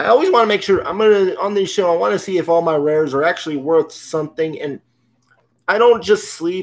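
A man talks with lively intonation in an American accent. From California. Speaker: YouTuber opening trading card packs. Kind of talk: casual live-stream commentary. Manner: casual, hesitant with fillers. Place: home room. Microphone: webcam.

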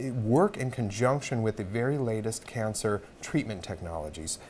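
A man at a moderate pace with lively intonation, over light background noise. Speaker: guest. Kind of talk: interview answer. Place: studio. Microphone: lapel.

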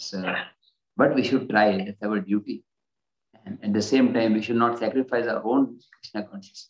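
Long, frequent pauses break up a man's speech, and his intonation stays fairly even. The background is quiet, though the room echo is audible. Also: moderate pace. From India. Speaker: spiritual teacher. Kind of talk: lecture. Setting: video call. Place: home room. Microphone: video call.

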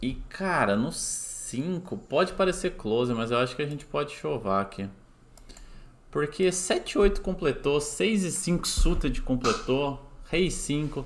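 With noticeable background noise behind him, a man talks very slowly at a fairly high pitch, with lively intonation and vocal fry. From Brazil, southern Minas Gerais. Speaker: poker player streamer. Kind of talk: live gameplay commentary stream. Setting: live stream with chat. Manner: casual. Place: home room.

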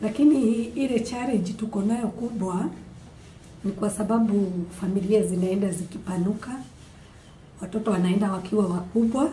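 Over light background noise and audible room echo, a woman speaks at a medium pitch and moderate pace with ordinary pitch variation and long, frequent pauses. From Kenya. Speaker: beadwork artisan and teacher; teacher. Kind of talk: testimony. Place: classroom. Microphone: camera far.

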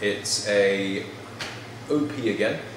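A man talking, with audible echo from the room and noticeable noise around him. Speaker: tea buyer. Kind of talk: tutorial. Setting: hotel tea room. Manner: animated. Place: bar. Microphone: camera far.

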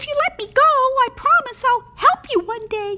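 A female-sounding cartoonish character voice, pitched extremely high, moves at a moderate pace. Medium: puppet.

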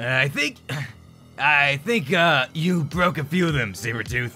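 A man puts on a character voice at a fairly high pitch. He speaks at a fairly slow pace over clear music in the background. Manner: nervous, stammering.

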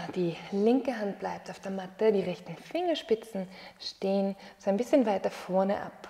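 Her loudness swings widely as a woman speaks. Her pitch varies in an ordinary way. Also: moderate pace. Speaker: yoga teacher. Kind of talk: guided exercise instruction. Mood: calm, encouraging. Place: home room.

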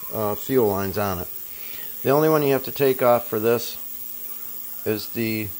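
A man speaks at a moderate pace with ordinary pitch variation. Light background noise can be heard. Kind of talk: tutorial. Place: garage. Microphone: phone near.

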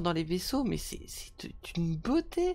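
The woman's voice is somewhat breathy. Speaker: gaming streamer. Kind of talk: live gameplay commentary. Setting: video call. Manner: halting.

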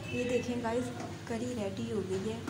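At a moderate pace and a fairly high pitch, a woman speaks with fairly even intonation over clear background noise.

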